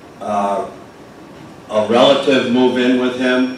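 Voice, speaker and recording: A man's medium-pitched voice with fairly even intonation, audible room echo and noticeable background noise. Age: 70s. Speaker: neighbor speaking at public hearing. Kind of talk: public comment at town meeting.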